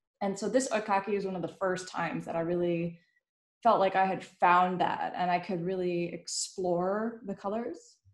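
A woman speaks at a moderate pace with a medium pitch and fairly even intonation. The room echo is audible, but the background is quiet. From Netherlands. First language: Dutch. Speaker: illustrator and panel host; panel host. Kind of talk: casual panel conversation. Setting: pre-recorded online live stream. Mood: reflective, self-deprecating. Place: home room. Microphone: webcam.

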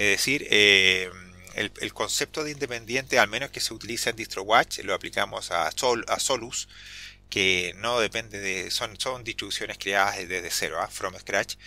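In a Chilean accent, a man speaks at a medium pitch with ordinary pitch variation. His tone is bright and sharp, and his pace is moderate. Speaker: Linux YouTuber. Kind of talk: tutorial. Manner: hesitant, many fillers; talkative.

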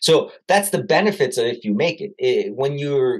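A somewhat breathy male voice at a moderate pace, with very wide pitch swings, over a quiet background. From US (born in Italy, moved at six). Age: 40s. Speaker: technology business founder and author. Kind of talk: interview. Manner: casual. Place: office. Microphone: webcam.

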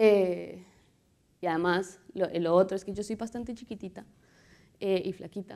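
An unremarkable speaking voice from a woman, medium in pitch and moderate in pace, with fairly even intonation. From Colombia. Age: 30s. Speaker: visual artist and muralist; speaker. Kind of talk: conference talk. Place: hall. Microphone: lapel.

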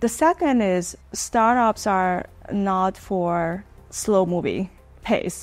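Her pitch moves up and down in an ordinary way as the woman speaks. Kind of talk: interview answer. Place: office.

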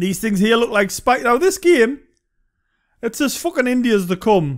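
A man with a Geordie accent, a high pitch and very wide pitch swings, on a very clean recording with a silent background. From Northern England. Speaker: game reviewer. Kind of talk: casual gameplay commentary. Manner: mumbling.

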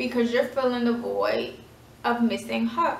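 Audible room echo surrounds a woman speaking in a high voice. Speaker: vlogger. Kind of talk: storytelling; casual storytime vlog chat. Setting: at home. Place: home room. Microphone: phone near.

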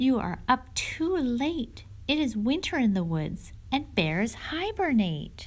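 A woman puts on a squeaky character voice, pitched high. She talks fairly slowly, and her pitch swings very widely. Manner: worried, fussing.

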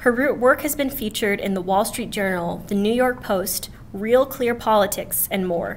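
A woman with a fairly high pitch speaks at a moderate pace with hardly any pauses. Her pitch variation is ordinary, and there is light background noise. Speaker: student event organizer; student event host introducing a speaker. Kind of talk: event introduction. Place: classroom. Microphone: podium.

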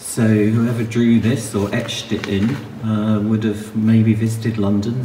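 Over faint background noise, a dark, mellow voice talks at a slow pace with little pitch movement. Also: man.

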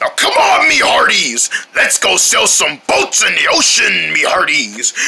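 A man puts on a character voice, talking at a moderate pace with an extremely high pitch. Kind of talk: playful character voice. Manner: hearty, exaggerated.

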